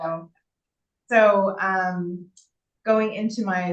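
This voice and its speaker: A woman speaks at a medium pitch. She goes at a very slow pace. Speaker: town board member. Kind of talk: public meeting report. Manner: loud; casual with many fillers.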